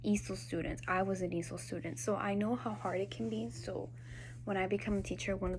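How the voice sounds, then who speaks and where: A voice with a Spanish accent comes through with audible room echo. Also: woman. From Peru, raised in Miami from age six. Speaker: student teacher. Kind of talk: class assignment video reflection. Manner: casual, with fillers.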